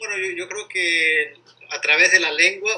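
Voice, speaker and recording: The pace is fairly slow. A man is the one talking. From Ecuador, Guayaquil (coast). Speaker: interviewee, bilingual speaker. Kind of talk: casual interview. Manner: halting, many repetitions and fillers.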